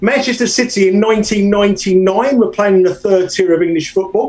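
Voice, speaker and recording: A man's high voice in a British accent, fairly even in intonation at a moderate pace, with noticeable background noise. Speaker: soccer bettor. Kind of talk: casual interview.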